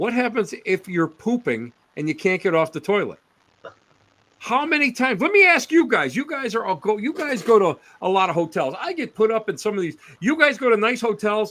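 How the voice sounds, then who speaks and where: Bright and sharp in tone, a man with an American accent talks at a fairly quick pace. His pitch is high and swings very widely. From Western New York State. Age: 60s. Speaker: paranormal researcher. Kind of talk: casual chat.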